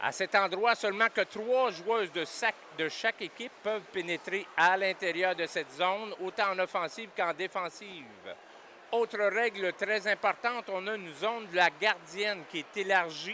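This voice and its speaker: A man's raised, projected voice, high in pitch, with a bright, sharp tone, fairly even intonation and a moderate pace. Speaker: sports commentator. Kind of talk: live commentary. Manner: halting, many repetitions.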